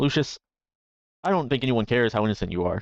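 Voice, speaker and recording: In a gruff, put-on character voice, a man speaks very fast at a medium pitch with lively intonation and very even loudness against a quiet background. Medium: actual play. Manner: laid-back, cynical.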